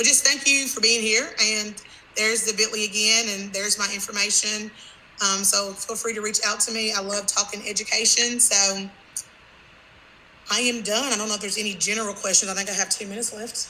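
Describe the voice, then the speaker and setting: A woman's fairly high, monotone voice with flat intonation at a fairly quick pace, with audible room echo and noticeable background noise. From Kentucky, Franklin. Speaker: teacher. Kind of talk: conference presentation wrap-up.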